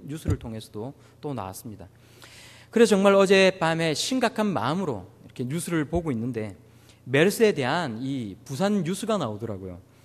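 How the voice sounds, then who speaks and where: Speaking at a fairly quick pace in a Busan accent, the voice shows very wide pitch swings and big swings in loudness. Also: man, fairly high pitch for a man. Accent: Busan Gyeongsang dialect. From Busan, Korea. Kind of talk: conversational, serious tone.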